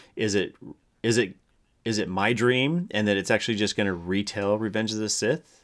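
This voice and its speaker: The man has a plain, everyday voice pitched fairly low. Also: ordinary pitch variation. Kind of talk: casual banter, answering quiz questions as a contestant. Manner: laughing, jokey, quick to interject.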